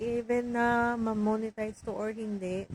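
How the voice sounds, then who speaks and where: Dry and close with no echo, the recording catches a soft-spoken woman talking at a fairly high pitch and a very slow pace. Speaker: vlogger, overseas worker. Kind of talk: casual vlog monologue. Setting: home, alone in room.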